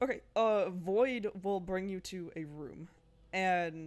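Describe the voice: Someone reads aloud plainly, the pitch varying in an ordinary way.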